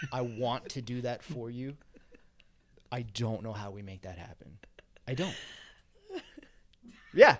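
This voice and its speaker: Big swings in loudness run through a man's medium-pitched speech, which has ordinary pitch variation. Long, frequent pauses break it up. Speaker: apparel business co-founder. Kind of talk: casual chat.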